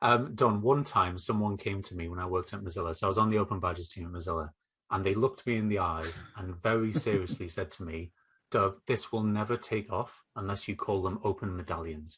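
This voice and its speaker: A man with a northeast English accent speaks over a quiet background. His pitch is fairly low, with ordinary variation. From northeast England. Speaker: educational technology consultant. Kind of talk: podcast interview.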